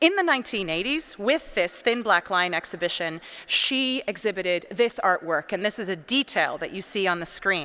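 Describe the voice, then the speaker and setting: A loud, bright, sharp voice with a Canadian accent, lively intonation, a moderate pace and hardly any pauses, on a very clean recording with a silent background. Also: woman, medium pitch for a woman. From Canada, British Columbia. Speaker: priest and art historian. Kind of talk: lecture. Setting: cathedral with audience.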